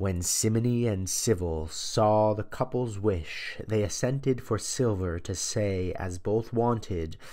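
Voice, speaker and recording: Hardly pausing at all, this is a plain, everyday voice with ordinary pitch variation. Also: man, fairly low pitch for a man, fairly slow pace. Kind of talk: audiobook reading of a medieval poem. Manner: formal, measured, steady narration; reads aloud in a storytelling cadence, with some archaic phrasing.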